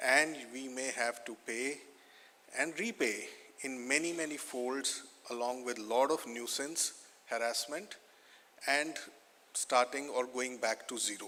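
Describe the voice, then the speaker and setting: Long, frequent pauses in an Indian accent. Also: man, medium pitch for a man, fairly even intonation, fairly slow pace. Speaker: lawyer, fund chairman. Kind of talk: conference speech. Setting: stage with audience.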